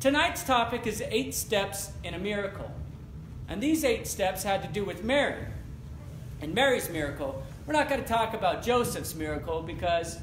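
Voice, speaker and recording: Some echo can be heard in the room as a man speaks at a moderate pace. There is light background noise as well. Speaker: pastor. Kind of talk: sermon. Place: church.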